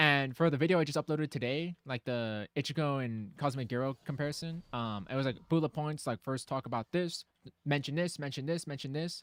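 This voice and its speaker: At a fairly quick pace, a man with a fairly high pitch speaks with ordinary pitch variation in a dry, close sound with no echo. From US, Mexican-American family (parents from Jalisco). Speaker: gaming streamer. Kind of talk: casual live-stream chat. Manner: casual, filler-heavy.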